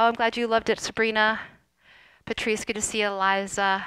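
A woman speaks in a bright, sharp tone. The sound is dry, with no echo. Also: quiet background. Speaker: fitness instructor. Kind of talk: casual live-stream chat. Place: home room. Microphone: headset.

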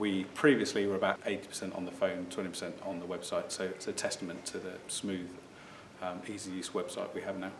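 At a fairly quick pace, a man talks in a low pitch with little pitch movement over clear background noise.

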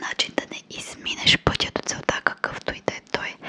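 A woman whispering. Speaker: video creator. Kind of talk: motivational talk, soft casual. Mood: calm, reflective, gentle. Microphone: studio mic.

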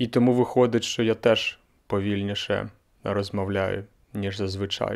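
A man with a fairly low pitch and monotone, flat intonation, over a quiet background. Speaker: language teacher and podcaster; language teacher vlogger. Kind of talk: casual vlog monologue. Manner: slow; slightly monotone. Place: home room. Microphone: handheld.

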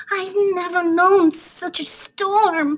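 A woman's put-on character voice, squeaky and at an extremely high pitch. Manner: anxious, shivering.

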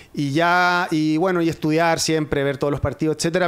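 The man's pitch sits fairly high. His delivery comes at a very fast pace. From southern Chile, Osorno; southern Chile. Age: 40s. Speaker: sports journalist. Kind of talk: casual chat. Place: studio. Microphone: studio mic.

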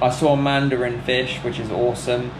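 Over noticeable background noise, a man speaks fairly slowly with flat, monotone intonation. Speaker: travel vlogger. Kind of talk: casual vlog chat. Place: home room. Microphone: phone near.

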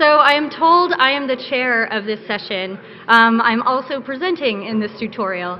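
A high-pitched woman's voice at a moderate pace, with ordinary pitch variation over light background noise. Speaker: conference presenter. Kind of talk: lecture. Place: hall. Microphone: podium.

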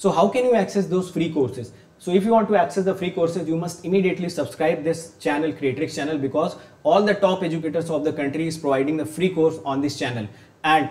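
A man's very fast speech with ordinary pitch variation. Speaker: online exam teacher. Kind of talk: promotional intro to a lecture. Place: studio.

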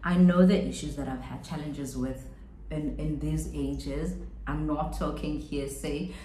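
At a fairly slow pace, a woman speaks over light background noise with audible room echo. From South Africa. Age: 30s. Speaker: beauty and lifestyle YouTuber; lifestyle YouTuber. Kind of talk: casual chat. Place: home room. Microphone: phone near.

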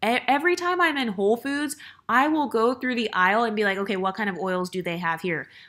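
A woman's bright, sharp tone with lively intonation, captured in a very clean recording with a silent background. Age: 30s. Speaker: YouTuber. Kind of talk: vlog monologue. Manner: casual, conversational.

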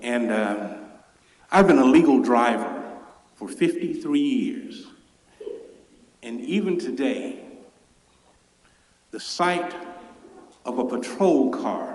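A man with a Memphis accent speaks at a very slow pace, with audible room echo and noticeable background noise. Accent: Southern US (Memphis). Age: 60s. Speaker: public commenter. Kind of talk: public comment at council meeting. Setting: city council chamber.

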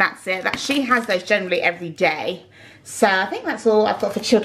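Light background noise runs through the clip. A woman is the speaker. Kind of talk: casual vlog chat. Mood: relaxed, chatty. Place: home room. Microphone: phone near.

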